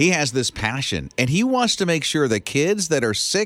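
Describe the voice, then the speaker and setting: In a dry, close sound with no echo, a man talks at a moderate pace with vocal fry, an animated tone and very wide pitch swings. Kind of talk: radio DJ banter, morning-show patter trading quips and riffing on quirky news stories.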